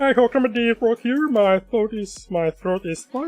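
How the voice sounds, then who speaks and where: A man's put-on character voice, high-pitched, strained and croaky, at a fairly slow pace with faint music in the background. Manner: tight, nervous.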